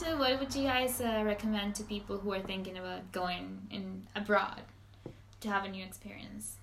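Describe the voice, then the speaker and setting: Moderate pacing, a medium pitch and ordinary pitch variation from a woman, set against noticeable background noise. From Venezuela, Maracaibo. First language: Spanish. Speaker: podcast host. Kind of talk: casual chat. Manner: animated.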